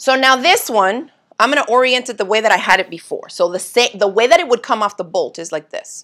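Against a quiet background, a woman speaks at a fairly quick pace in a bright, sharp tone with lively intonation. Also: fairly high pitch for a woman. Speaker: sewing instructor. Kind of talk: live sewing tutorial. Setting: home sewing studio livestream. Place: home room.

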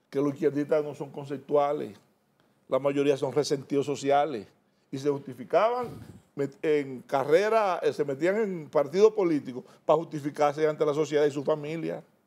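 This man's voice has a dark, mellow tone and a fairly high pitch. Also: ordinary pitch variation, moderate pace. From Dominican Republic. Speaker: politician. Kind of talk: TV interview. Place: studio. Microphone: lapel.

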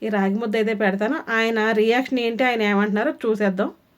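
Her intonation, as a woman, stays fairly even throughout. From Andhra Pradesh. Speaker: cooking vlogger. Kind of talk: cooking tutorial. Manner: casual, chatty.

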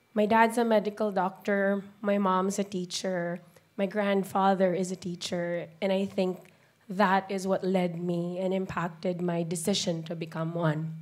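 In a monotone, flat intonation, a woman speaks at a fairly slow pace. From Philippines. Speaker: special education teacher. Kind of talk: talk to an audience. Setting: stage with audience. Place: hall. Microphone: handheld.

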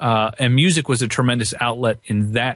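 A man with an American accent speaks at a medium pitch and a moderate pace in a plain, everyday voice, the sound dry and close with no echo. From Pennsylvania, Lancaster County. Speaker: guitarist and guitar teacher. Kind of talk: interview.

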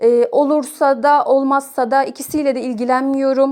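Here a woman talks at a high pitch and a fairly slow pace. Her tone is dark and mellow, and her intonation stays monotone and flat. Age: 30s. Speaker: person sharing own OCD recovery story. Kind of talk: testimony.

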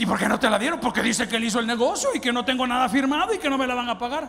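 A man with a Salvadoran accent speaks in an animated tone. Light background noise can be heard. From El Salvador. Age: 50s. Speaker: pastor. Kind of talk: sermon. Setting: church. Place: church. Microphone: handheld.

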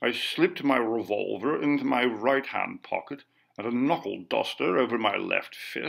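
A natural voice reading aloud

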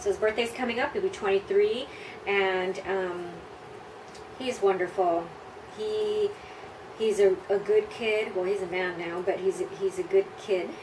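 A woman with an American accent speaks at a fairly slow pace, leaving long, frequent pauses. Noticeable background noise runs underneath. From US Southwest / California (El Paso, Texas and Los Angeles). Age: 40s. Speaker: pin-up model. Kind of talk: interview answers. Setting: video recording. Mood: relaxed, warm. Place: home room.

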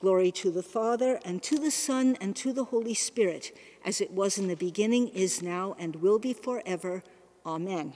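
A dark, mellow tone comes through at a moderate pace. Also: woman, medium pitch for a woman. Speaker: cathedral service leader. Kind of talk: morning prayer liturgy, fervent prayer. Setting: church, recorded service. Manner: formal, solemn, reverent, measured. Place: church. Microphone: podium.

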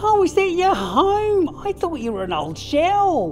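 A woman does a cartoonish character voice at an extremely high pitch, with very wide pitch swings. She speaks at a fairly slow pace over faint music in the background.

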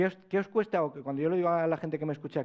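The male speaker uses ordinary pitch variation, and the background is quiet. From Spain. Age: 40s. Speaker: personal branding consultant; conference speaker. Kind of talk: conference talk. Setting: stage with audience. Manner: fast. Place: hall. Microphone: lapel.

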